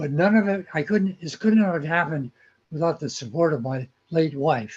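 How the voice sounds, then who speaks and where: Somewhat breathy, a man speaks with an American accent and ordinary pitch variation. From California. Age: 80s+. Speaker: magazine founder and model railroader. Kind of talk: interview.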